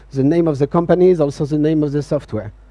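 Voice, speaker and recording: A man speaks with a French accent. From France. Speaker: software company CTO, conference speaker. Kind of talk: conference talk. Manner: hesitant, many fillers.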